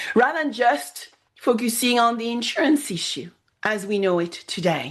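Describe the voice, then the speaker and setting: The intonation is lively. The woman speaks with a non-native accent. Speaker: podcast host. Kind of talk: podcast interview.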